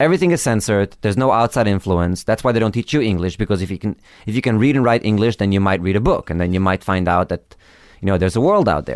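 Very fast speech with ordinary pitch variation, in a dry, close sound with no echo, on a very clean recording with a silent background. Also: man, fairly low pitch for a man. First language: Yiddish. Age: 30s. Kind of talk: interview conversation.

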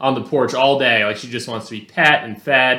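The man has a plain, everyday voice. He keeps a moderate pace at a medium pitch. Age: 20s. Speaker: podcast co-host. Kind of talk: casual chat.

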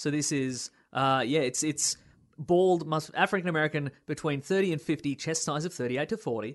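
In an Australian accent, a man talks at a fairly quick pace. His pitch sits fairly high, over a quiet background. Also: ordinary pitch variation. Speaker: podcast host. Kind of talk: casual chat. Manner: joking.

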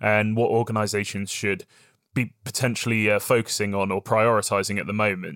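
A man with a British accent speaks at a moderate pace and medium pitch, with a dry, close sound with no echo and a very clean recording over a silent background. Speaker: podcast host. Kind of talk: podcast interview.

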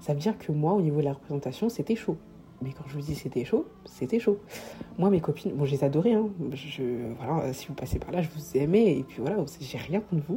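The pitch swings very widely. Noticeable background noise is present. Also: woman, very deep, low pitch for a woman. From Paris, France. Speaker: podcast host. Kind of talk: solo podcast monologue. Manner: halting.

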